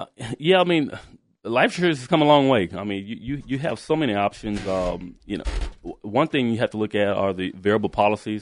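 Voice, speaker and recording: It is an unremarkable speaking voice with lively intonation and big swings in loudness. The pace is fairly quick over a quiet background. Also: man, medium pitch for a man. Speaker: financial advisor. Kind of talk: radio interview about insurance. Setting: studio.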